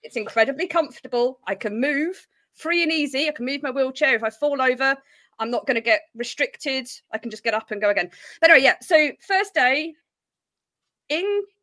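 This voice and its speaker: A woman's high, bright, sharp voice is raised and projected as she talks fairly quickly with lively intonation. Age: 30s. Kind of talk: casual chat.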